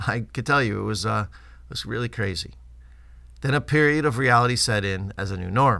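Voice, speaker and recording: A man with a bright, sharp tone and vocal fry, lively intonation, fairly quick pace with long, frequent pauses, in a very clean recording with a silent background. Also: medium pitch for a man. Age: 50s. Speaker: pediatrician and newsletter host. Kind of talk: scripted narration.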